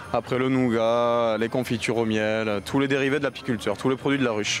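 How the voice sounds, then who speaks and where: Music plays in the background as a man speaks fairly quickly with fairly even intonation. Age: young. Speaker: beekeeper and vendor. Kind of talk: on-location interview.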